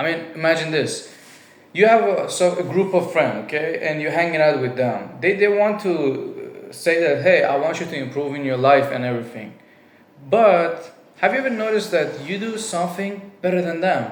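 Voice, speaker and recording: Over noticeable background noise and audible room echo, a high-pitched man with a non-native accent speaks with lively intonation. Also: moderate pace. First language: not English. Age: 20s. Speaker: vlogger. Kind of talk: personal monologue. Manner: casual, with fillers.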